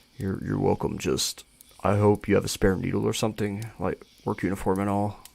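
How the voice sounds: Simply a natural reading voice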